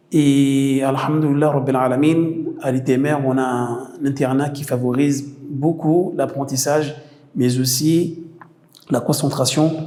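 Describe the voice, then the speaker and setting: A man with a fairly high pitch speaks in a monotone, flat intonation, with audible room echo around him. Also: fairly slow pace. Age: 30s. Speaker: theology student. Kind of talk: interview testimony. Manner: halting, with many fillers.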